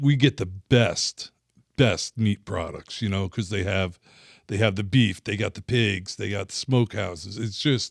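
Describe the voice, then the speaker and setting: Speaking with a New Jersey accent, a man uses a fairly low pitch and ordinary pitch variation at a fairly slow pace. The recording is very clean and silent, with a dry, close sound and no echo. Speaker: former fishing guide and industry rep. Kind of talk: casual interview chat. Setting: studio.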